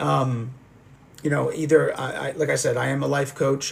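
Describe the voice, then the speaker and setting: Noticeable background noise runs through the clip. A man speaks at medium pitch. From US (moved from France at age 2). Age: 40s. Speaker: life coach and livestream interviewer. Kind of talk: live stream chat with viewers. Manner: halting, many fillers and repetitions.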